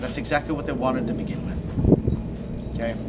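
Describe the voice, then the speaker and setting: The room echo is audible. Noticeable background noise runs through the clip. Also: man. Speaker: film commentary youtuber. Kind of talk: live casual discussion. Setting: outdoors. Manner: loud; animated.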